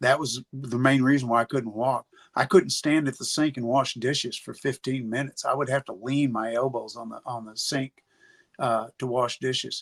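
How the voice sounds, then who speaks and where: With an ordinary speaking voice and an American accent, a man at medium pitch speaks with fairly even intonation and big swings in loudness, on a very clean, dry, close recording with no echo and a silent background. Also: moderate pace. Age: 60s. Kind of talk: interview answer.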